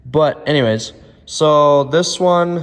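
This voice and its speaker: A man's voice with music in the background. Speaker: snowmobile hobbyist vlogger. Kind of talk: tutorial. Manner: casual, with filler words.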